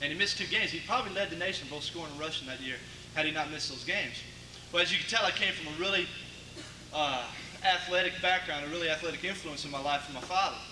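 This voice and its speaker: A man with an American accent talks at a very fast pace in a fairly high pitch. Audible room echo and noticeable background noise accompany him. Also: ordinary pitch variation. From Connecticut, US Northeast. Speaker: college football quarterback. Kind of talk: banquet speech. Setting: banquet hall with audience. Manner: casual, with many fillers and repetitions.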